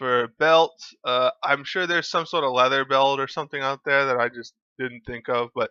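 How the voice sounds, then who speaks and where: In a normal speaking voice, a man talks at a moderate pace, fairly high in pitch with ordinary pitch variation. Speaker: gaming guide creator. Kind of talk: tutorial.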